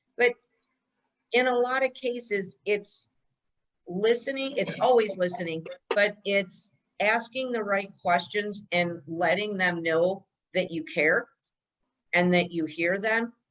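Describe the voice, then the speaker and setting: A woman talks at a very slow pace, her pitch medium and its variation ordinary. She leaves long, frequent pauses. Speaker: real estate trainer. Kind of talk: training session. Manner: loud.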